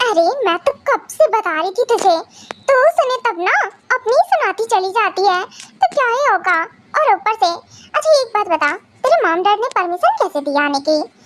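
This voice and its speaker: Using a put-on character voice, a woman speaks at an extremely high pitch and a moderate pace with very wide pitch swings. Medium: solo performance. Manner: anxious, fretful.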